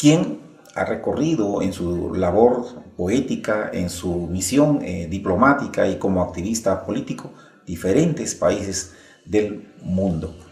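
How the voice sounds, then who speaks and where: Over noticeable background noise, a man with a fairly low pitch talks at a very slow pace with lively intonation. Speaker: interviewer. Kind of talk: documentary narration.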